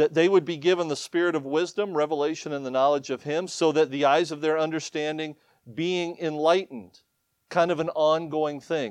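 A man talks with a Midwestern US accent. His pitch sits fairly high. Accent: US Midwest. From Ohio. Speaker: missionary preacher. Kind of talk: sermon. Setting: church.

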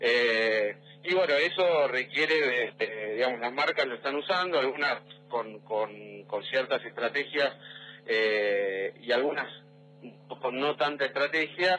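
Here is a man with an ordinary speaking voice. He talks at a fairly slow pace, at a medium pitch, with ordinary pitch variation. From Argentina, Neuquén. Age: 40s. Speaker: digital marketing executive. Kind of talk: radio interview.

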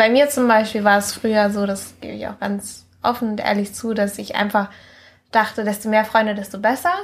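A somewhat breathy woman's voice, fairly high in pitch, with monotone, flat intonation at a moderate pace. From Mallorca, Spain. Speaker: guest, friend of host. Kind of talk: casual chat.

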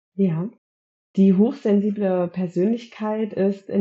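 A woman at medium pitch talks at a fairly slow pace, somewhat breathy, with ordinary pitch variation. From Germany, Gütersloh area. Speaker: eczema counselor and high-sensitivity expert. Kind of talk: interview.

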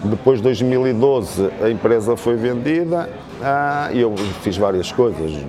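With noticeable background noise and audible room echo, a man speaks at a very slow pace. His voice sits at a medium pitch with lively intonation. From northern Portugal, Amarante. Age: 50s. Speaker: real estate consultant. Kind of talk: casual interview.

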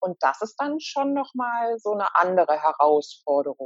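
At a fairly slow pace, a woman with a medium pitch speaks with very wide pitch swings. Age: 50s. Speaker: cancer patient. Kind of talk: interview. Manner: hesitant word-finding.

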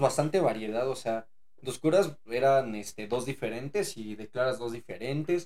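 An ordinary speaking voice from a man, medium in pitch, with lively intonation at a fairly slow pace. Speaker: podcast host. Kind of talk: casual chat.

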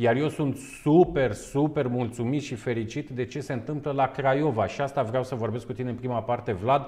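Speaking at a moderate pace with hardly any pauses, a man has a dark, mellow, somewhat breathy tone, medium pitch and fairly even intonation. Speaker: webinar host. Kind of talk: webinar interview. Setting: online webinar with on-location segment.

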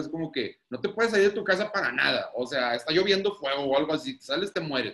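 With a normal speaking voice, a man talks at a fairly quick pace using lively intonation. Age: 30s. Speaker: guest, married father. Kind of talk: casual chat.

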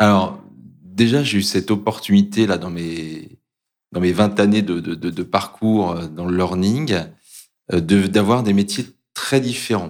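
A man's fairly low voice with ordinary pitch variation, a very slow pace and long, frequent pauses, on a very clean recording with a silent background. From Brittany, France. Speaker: corporate learning director. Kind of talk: interview. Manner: halting.

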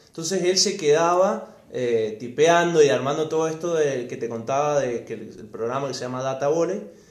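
A man with a fairly high voice speaks with hardly any pauses. Room echo is audible. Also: ordinary pitch variation, moderate pace. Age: 20s. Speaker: lawyer, former hockey player. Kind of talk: casual chat.

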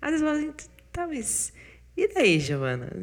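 At a moderate pace, a woman is speaking. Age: 30s. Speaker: podcast host and business consultant. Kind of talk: casual monologue with self-help tips. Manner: animated.

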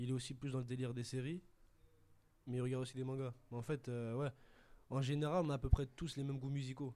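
The man talks at a very fast pace in a dark, mellow tone with monotone, flat intonation. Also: medium pitch for a man. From France, Paris suburbs (Sarcelles). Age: young. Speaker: prep-school student. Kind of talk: casual interview.

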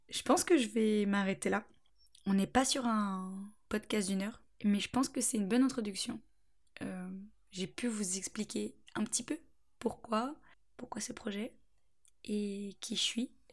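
Her voice is fairly high-pitched and somewhat breathy. The woman talks at a fairly slow pace with long, frequent pauses. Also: ordinary pitch variation. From France, Angers area (Anjou). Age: 20s. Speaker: podcast host, student. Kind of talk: solo monologue podcast. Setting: at parents' home. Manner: chatty, frequent laughter.

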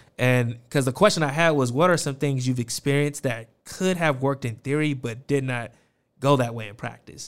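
An animated man with an American accent, medium pitch, ordinary pitch variation and a moderate pace, on a very clean recording with a silent background. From Las Vegas, Nevada. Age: 30s. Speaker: podcast host. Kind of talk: interview conversation. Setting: studio. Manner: animated, hype.

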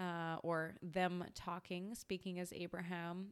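Very slowly, a woman with a Western Canadian accent talks at medium pitch in a monotone, flat intonation. The recording is very clean, with a silent background. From Canada, British Columbia. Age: 30s. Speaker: podcast host. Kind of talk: personal storytelling monologue.

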